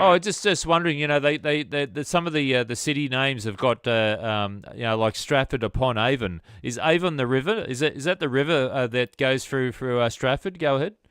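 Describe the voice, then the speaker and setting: Using an Australian accent, a man talks at a fairly quick pace in a medium-pitched voice with lively intonation and hardly any pauses. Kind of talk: amateur radio contact. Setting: radio transmission. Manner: halting, many fillers.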